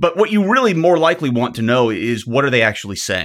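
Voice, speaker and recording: The recording is very clean with a silent background. A man with a Southern US accent speaks with very wide pitch swings. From US South. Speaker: psychology professor and startup co-founder. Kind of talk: casual interview conversation. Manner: frequent fillers and hesitations.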